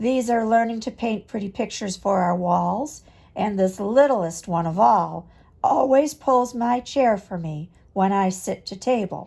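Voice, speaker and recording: A woman's put-on character voice, warm, gentle and raspy at medium pitch, at a fairly slow pace on a very clean recording with a silent background. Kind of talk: bedtime story. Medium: read story.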